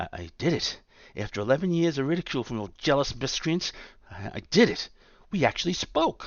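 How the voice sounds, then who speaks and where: A man doing a put-on character voice speaks at a fairly quick pace, shaky and fairly high-pitched, with very wide pitch swings and big swings in loudness. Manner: shocked, overwhelmed.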